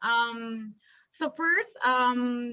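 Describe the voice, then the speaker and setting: A woman speaks with a Colombian accent and ordinary pitch variation. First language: Spanish. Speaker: illustrator and industrial designer. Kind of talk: artist talk. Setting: video call. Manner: halting, many fillers.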